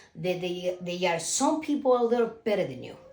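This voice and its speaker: A woman with a Cuban accent speaks at a medium pitch and a moderate pace, her intonation lively. Noticeable background noise runs underneath. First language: Spanish. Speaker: self-published author. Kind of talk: casual vlog talk. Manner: halting, with fillers.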